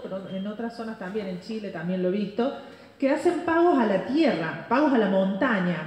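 A woman with a Cordoba accent, fairly high pitch and very wide pitch swings, amid audible room echo and light background noise. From Argentina, Córdoba; Argentina. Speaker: journalist and researcher; journalist. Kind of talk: conference talk. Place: stage. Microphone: pa.

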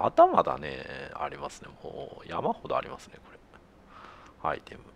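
Loudness swings widely, with noticeable background noise throughout. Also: man, moderate pace. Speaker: gamer doing let's play commentary. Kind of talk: casual game commentary.

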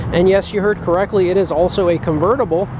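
The speech moves at a fairly quick pace, with a dry sound free of echo and noticeable background noise. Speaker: car salesman. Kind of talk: sales walk-around commentary. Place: street. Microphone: phone near.

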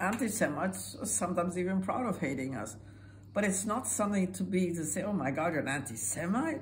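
Very wide pitch swings mark a woman speaking at a fairly quick pace over light background noise. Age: 80s+. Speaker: Holocaust survivor. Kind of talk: interview answer. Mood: earnest, urgent. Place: home room. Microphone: phone near.

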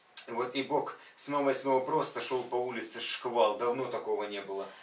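A man talks at a moderate pace, and audible room echo hangs around his voice. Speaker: church member. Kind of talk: testimony. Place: home room.

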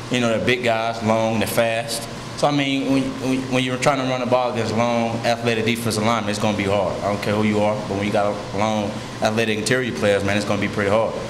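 Noticeable background noise accompanies a man talking at a very fast pace with fairly even intonation. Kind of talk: interview answer. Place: meeting room. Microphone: podium.

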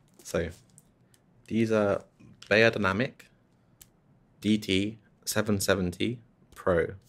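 Soft-spoken, a man talks at a fairly low pitch. His intonation stays fairly even. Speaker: ASMR creator and music composer; ASMR creator. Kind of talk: ASMR roleplay as a music shop assistant. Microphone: studio mic.

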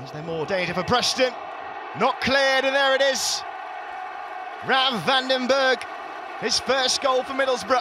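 Amid noticeable background noise, a man with an extremely high pitch projects a raised voice, leaving long, frequent pauses. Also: lively intonation, moderate pace. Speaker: football commentator. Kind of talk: live football commentary over match highlights. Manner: animated; fluent.

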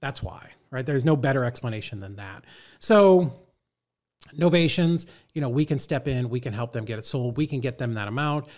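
At a fairly quick pace, a man speaks in an animated tone with ordinary pitch variation against a quiet background. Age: 50s. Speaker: real estate investor and coach; coach. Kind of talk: casual interview. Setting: studio, in person. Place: studio. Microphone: studio mic.

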